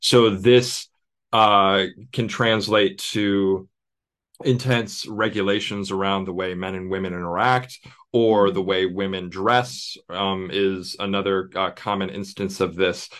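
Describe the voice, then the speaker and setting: In an American accent, a man with an unremarkable speaking voice talks at a fairly slow pace and fairly low pitch, his intonation fairly even against a quiet background. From United States. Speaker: theologian and author. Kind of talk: interview.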